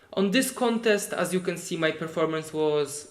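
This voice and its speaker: Speaking in a Polish accent, a man talks at a fairly slow pace with ordinary pitch variation. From Poland. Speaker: competitive programmer. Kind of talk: live stream tutorial. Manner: halting.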